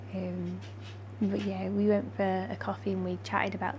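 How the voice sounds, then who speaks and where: A woman speaks quietly with a very deep, low pitch and monotone, flat intonation. Audible room echo surrounds her voice. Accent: British. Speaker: vlogger. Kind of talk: vlog chat.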